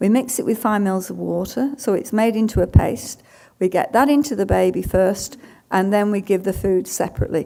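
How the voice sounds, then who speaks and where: A woman with a British accent at a moderate pace, on a very clean recording with a silent background. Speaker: dietitian. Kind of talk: conference talk Q&A. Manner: halting.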